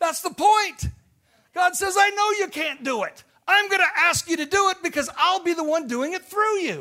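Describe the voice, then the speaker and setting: A raised, projected voice with a bright, sharp tone and an American accent. The pace is moderate and the pitch variation ordinary. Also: man, extremely high pitch for a man. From US Midwest, Illinois farm. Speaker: missionary. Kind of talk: sermon. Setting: church.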